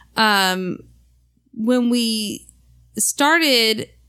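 A fairly high-pitched woman's voice with ordinary pitch variation, in a very clean recording over a silent background. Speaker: wife and podcast guest. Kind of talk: casual chat.

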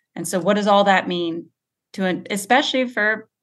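A woman's normal speaking voice at medium pitch, with ordinary pitch variation, a moderate pace and a quiet background. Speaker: researcher. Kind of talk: interview about water science.

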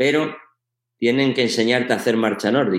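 On a very clean recording with a silent background, a man in a plain, everyday voice speaks at medium pitch, fairly quickly, with ordinary pitch variation. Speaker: sports science professor and coach. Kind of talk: interview.

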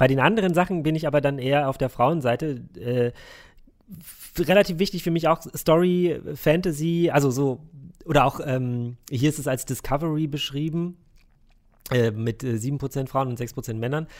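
A man speaks at a moderate pace, with long, frequent pauses. His pitch is fairly high, with ordinary variation. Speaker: games journalist. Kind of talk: interview; casual chat.

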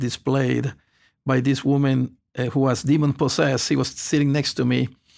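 A man speaks with a Spanish accent. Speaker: pastor. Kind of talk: testimony. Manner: halting.

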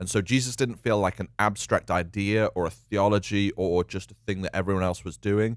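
Speaking quickly with hardly any pauses, a man with a British accent uses a fairly low pitch and fairly even intonation, recorded very cleanly against a silent background with a dry, close sound and no echo. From UK. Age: 30s. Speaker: church leader. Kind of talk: casual chat.

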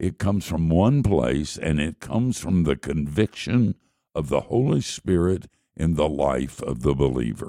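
A man's very deep, low voice with a dark, mellow tone, fairly slow and lively in intonation, dry and close with no echo. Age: old. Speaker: radio Bible teacher. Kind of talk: radio Bible teaching.

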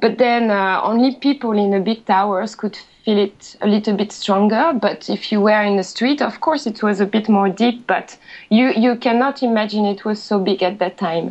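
Fairly even in intonation, a woman speaks in a fairly high voice with a French accent. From France. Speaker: office worker living in Japan. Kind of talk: casual panel discussion. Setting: online call.

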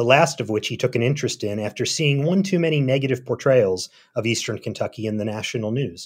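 In a very clean recording with a silent background, a man with an American accent speaks at medium pitch and a fairly quick pace, with lively intonation and an ordinary speaking voice. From Philadelphia. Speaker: journalist and author. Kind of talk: interview.

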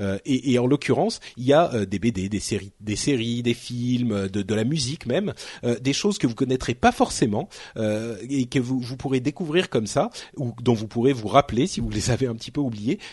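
A man talks at a moderate pace in a medium pitch. His voice is somewhat breathy, with ordinary pitch variation. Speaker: tech podcast host. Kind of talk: casual chat.

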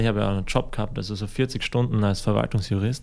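At a fairly quick pace and with fairly even intonation, a man talks in an ordinary speaking voice. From Austria, Styria. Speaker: musician. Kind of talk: interview. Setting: studio.

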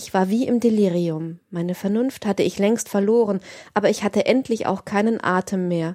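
The reading voice sounds unforced, and its pitch moves in an ordinary way.

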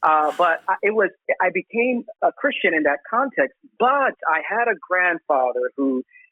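In an American accent, a man with an unremarkable speaking voice talks at a fairly slow pace with lively intonation. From Brooklyn, New York. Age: 40s. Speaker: pastor. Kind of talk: casual chat.

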